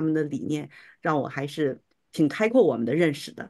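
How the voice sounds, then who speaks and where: A woman speaks with a very deep, low pitch and lively intonation. Her pace is fairly quick against a quiet background. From China. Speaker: homeschooling mother. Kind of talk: testimony. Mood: appreciative, reflective. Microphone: video call.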